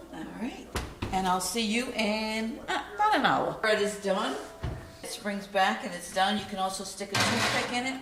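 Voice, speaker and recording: A Rhode Island accent at a moderate pace, with noticeable background noise. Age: old. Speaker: home cooking video host. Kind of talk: cooking tutorial. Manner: casual, chatty.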